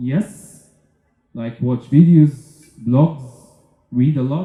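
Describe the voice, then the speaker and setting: Here is a man with a dark, mellow tone. His voice is somewhat breathy. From Egypt. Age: 30s. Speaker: entrepreneur and festival speaker. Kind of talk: conference talk. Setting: stage with audience. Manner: halting, many fillers.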